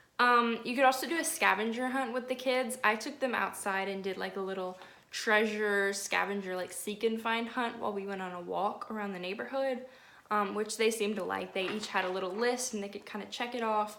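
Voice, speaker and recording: A woman's animated, fairly quick delivery, bright and sharp in tone, fairly high in pitch, with audible room echo. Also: ordinary pitch variation. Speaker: nanny and lifestyle vlogger. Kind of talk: casual vlog tutorial. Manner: fast.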